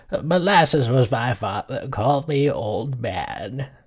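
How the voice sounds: A man uses a raspy, put-on character voice at medium pitch and a fairly slow pace. The recording is very clean, with a silent background.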